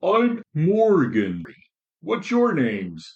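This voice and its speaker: This is a put-on character voice from a man. He pitches it high. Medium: read story. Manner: warm, friendly.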